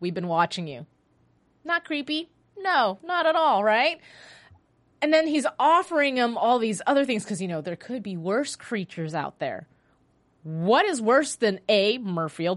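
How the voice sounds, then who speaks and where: A woman with a high pitch talks with very wide pitch swings. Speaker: TV after-show host. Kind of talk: casual show recap and commentary. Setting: studio. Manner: fast; animated.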